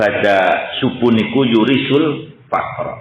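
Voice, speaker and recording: This is a man speaking. He has a Javanese accent. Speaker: Islamic boarding school leader and preacher. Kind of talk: religious sermon.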